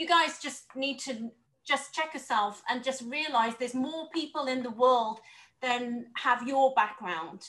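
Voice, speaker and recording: A high-pitched woman with a British accent, bright and sharp in tone, at a fairly slow pace. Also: ordinary pitch variation. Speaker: panelist. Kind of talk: panel discussion.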